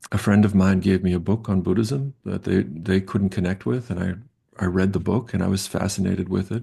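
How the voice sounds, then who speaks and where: A man with an American accent speaks at a fairly quick pace in a very deep, low pitch, with a dark, mellow, somewhat breathy tone and ordinary pitch variation. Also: hardly any pauses. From US Northeast, Long Island, New York. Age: 60s. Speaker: professor. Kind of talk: interview. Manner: halting.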